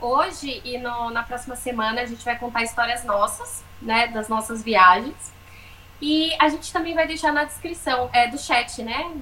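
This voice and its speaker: Slowish and high-pitched, a woman is speaking. Her pitch variation is ordinary. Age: 30s. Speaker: podcast co-host, travel content creator. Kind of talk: casual chat, storytelling.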